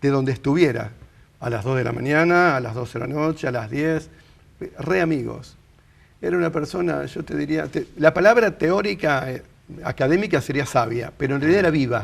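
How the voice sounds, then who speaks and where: Lively intonation marks a man's fairly high-pitched voice moving at a fairly quick pace. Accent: Rioplatense. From Argentina, Rosario. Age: 60s. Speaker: interviewee sharing life story. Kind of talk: interview, casual conversation.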